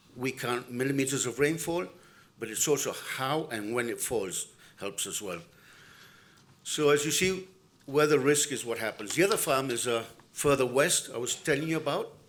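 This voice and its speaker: With long, frequent pauses and audible room echo, a man speaks at a moderate pace and medium pitch with ordinary pitch variation. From Argentina. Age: 60s. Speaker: farm manager and keynote speaker. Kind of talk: conference keynote talk.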